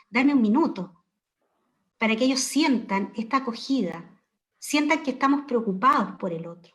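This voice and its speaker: This woman has a high pitch and ordinary pitch variation, talking at a moderate pace. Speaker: education professor. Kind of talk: panel discussion.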